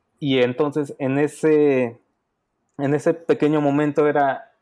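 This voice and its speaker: The voice has a dark, mellow tone and fairly even intonation, set against a quiet background. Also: man. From Mexico, Puebla. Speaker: software developer. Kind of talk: casual chat. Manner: halting, many fillers.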